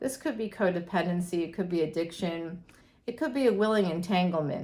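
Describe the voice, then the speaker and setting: Speaking with an American accent, a woman uses a medium pitch. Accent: Boston accent, slight, pops out occasionally. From greater Boston, Massachusetts. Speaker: astrologer and tarot reader. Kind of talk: tarot reading monologue. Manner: casual, chatty.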